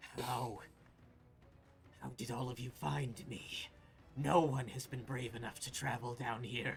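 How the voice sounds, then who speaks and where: Over clear background noise, a man uses a put-on character voice at medium pitch and a fairly slow pace. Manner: snarling.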